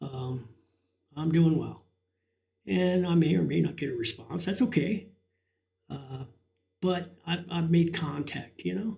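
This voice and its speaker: A man with a high pitch and a dark, mellow tone speaks at a fairly slow pace with ordinary pitch variation and long, frequent pauses. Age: 60s. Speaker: live streamer. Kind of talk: casual chat. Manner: halting.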